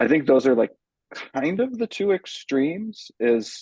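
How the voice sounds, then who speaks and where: A man speaks at a moderate pace with lively intonation and a dark, mellow tone. The sound is dry and close, with no echo. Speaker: chestnut farm business representative. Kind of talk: webinar town hall presentation.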